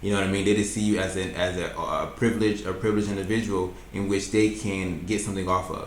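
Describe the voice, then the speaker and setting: Very fast, monotone, flat speech from a man with a fairly low pitch, amid noticeable background noise and audible room echo. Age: 20s. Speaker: YouTuber reacting to videos. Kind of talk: reaction commentary.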